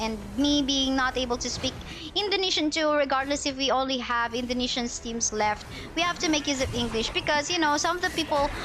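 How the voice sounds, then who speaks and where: Over noticeable background noise, a woman speaks fairly quickly in a high voice with lively intonation. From Philippines. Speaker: esports shoutcaster. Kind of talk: live commentary. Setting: livestream. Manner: animated.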